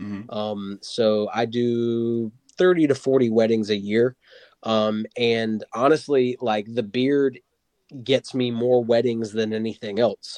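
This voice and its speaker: Very slow speech in an American accent with fairly even intonation. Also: man, medium pitch for a man. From Wilmington, North Carolina. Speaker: musician. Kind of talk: casual chat.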